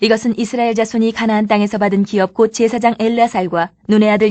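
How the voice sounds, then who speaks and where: Over a quiet background, a woman speaks at a fairly quick pace with fairly high pitch and fairly even intonation. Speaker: Bible reader. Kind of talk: reading aloud. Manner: fast.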